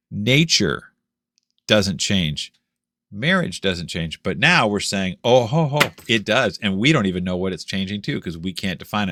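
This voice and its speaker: A man's animated voice with a bright, sharp tone and very wide pitch swings. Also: dry, close sound with no echo, very clean recording, silent background. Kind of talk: monologue commentary video. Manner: animated, sarcastic; deliberately slow at points.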